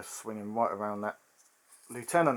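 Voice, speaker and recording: The speaker is a man talking at a moderate pace. His intonation is fairly even. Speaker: tabletop miniatures hobby youtuber. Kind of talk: game playthrough commentary. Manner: casual, frequent fillers (um, uh).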